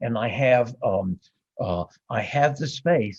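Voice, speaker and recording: With ordinary pitch variation, a man of medium pitch speaks in a somewhat breathy voice. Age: 70s. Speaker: author and recovering addict. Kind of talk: podcast interview. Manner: halting, with fillers and repetitions.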